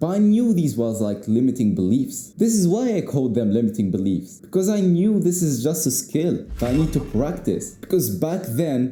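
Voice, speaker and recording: With a non-native accent, a man speaks at a moderate pace in a fairly high, somewhat breathy voice of dark, mellow tone, his pitch swinging very widely while his loudness stays very even, and room echo is audible. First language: not English. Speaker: YouTuber, speaking coach. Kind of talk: unscripted talk to camera. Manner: casual, repetitive, filler-heavy.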